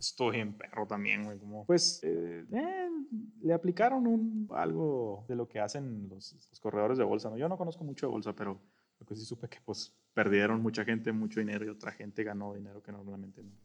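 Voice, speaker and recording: Speaking at a fairly quick pace, a man with a fairly low pitch uses lively intonation and big swings in loudness. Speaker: podcast co-host. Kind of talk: casual chat.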